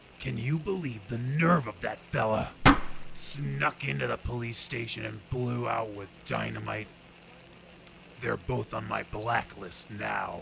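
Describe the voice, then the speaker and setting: A man does a raspy put-on character voice in a medium pitch with very wide pitch swings. He goes at a fairly slow pace over clear background noise. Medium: audio drama. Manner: gruff, blustering.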